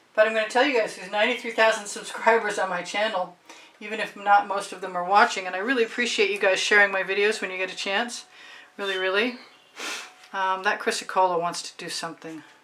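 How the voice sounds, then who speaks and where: Against noticeable background noise, a woman at medium pitch talks very fast with fairly even intonation and big swings in loudness. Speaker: artist and art tutor. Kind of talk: painting demonstration. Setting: home art studio. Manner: casual; quiet.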